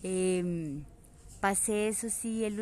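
A woman's fairly even intonation comes with a dark, mellow tone. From Colombia, Manizales (Caldas). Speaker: social communicator and filmmaker. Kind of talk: personal narration.

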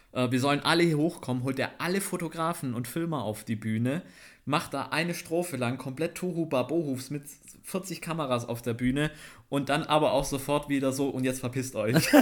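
A man's plain, everyday voice at a moderate pace with ordinary pitch variation, on a very clean recording against a silent background. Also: fairly high pitch for a man. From Swabia, Schwäbisch Gmünd near Stuttgart. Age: 20s. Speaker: photographer and cameraman. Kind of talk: casual chat.

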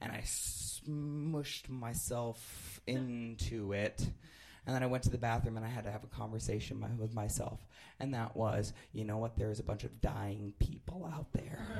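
At a moderate pace, a man speaks at a medium pitch with ordinary pitch variation. His voice is somewhat breathy. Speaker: improv sci-fi performer, storyteller. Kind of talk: live storytelling, comedic anecdote. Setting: live stage with audience. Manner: hesitant, self-deprecating, ums and restarts.

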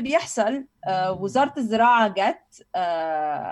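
A woman speaks with very wide pitch swings. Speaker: university lecturer and food heritage advocate. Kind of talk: casual interview. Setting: online remote recording.

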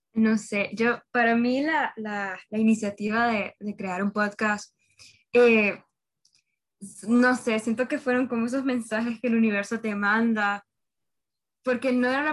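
The speech is delivered at a fairly slow pace with fairly even intonation. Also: woman. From Honduras. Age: young (19). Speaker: university student, podcast host. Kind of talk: casual chat.

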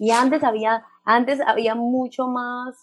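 A woman talks in a high-pitched voice. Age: 30s. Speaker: parenting specialist. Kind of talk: interview. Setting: video call.

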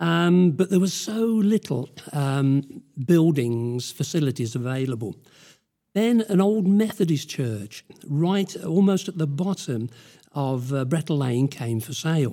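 A dark, mellow voice in a British accent, fairly slow, with very wide pitch swings. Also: man, fairly high pitch for a man. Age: 70s. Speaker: church elder. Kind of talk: interview telling history, using notes.

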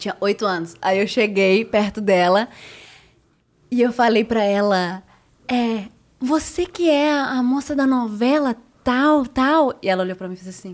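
At a fairly slow pace, a woman with a fairly high pitch speaks with lively intonation, big swings in loudness and long, frequent pauses. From Ecuador and United States. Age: 30s. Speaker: journalist and TV presenter. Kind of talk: casual chat.

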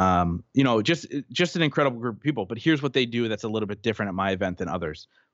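A man's very fast speech comes with lively intonation. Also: medium pitch for a man. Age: 30s. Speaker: personal growth podcaster and event organizer. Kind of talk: interview.

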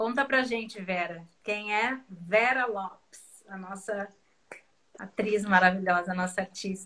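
A woman's medium-pitched voice proceeds very slowly. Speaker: samba singer and live host. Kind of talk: casual chat. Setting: video call. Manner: animated.

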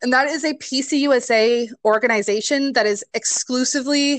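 A woman with an American accent speaks at a very slow pace with ordinary pitch variation, recorded in a dry, close sound with no echo. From Nebraska, US Midwest. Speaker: seminary student. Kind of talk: casual interview chat.

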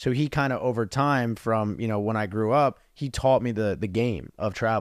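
In a very clean recording with a silent background, a man with an unremarkable speaking voice talks at a fairly quick pace, medium in pitch and fairly even in intonation. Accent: American. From New Jersey. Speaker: business coach. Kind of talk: casual interview.

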